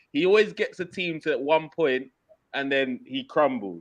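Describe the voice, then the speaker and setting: The speaker has a London accent. The background is quiet. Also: man. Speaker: football podcast host. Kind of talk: casual football banter.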